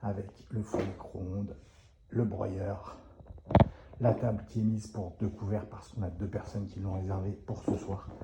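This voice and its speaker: This man has a fairly low pitch and a monotone, flat delivery. He talks at a fairly slow pace, with long, frequent pauses. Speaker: short-term rental concierge business owner. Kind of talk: live walkthrough tour. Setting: inside rental apartments. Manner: speaks softly; casual, filler-heavy.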